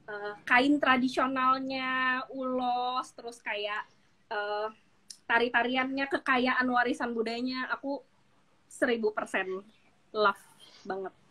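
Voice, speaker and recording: The tone is bright and sharp, delivered at a very slow pace. Intonation stays fairly even while loudness swings widely. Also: woman, high pitch for a woman. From Jakarta, Indonesia. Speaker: business founder. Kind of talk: interview.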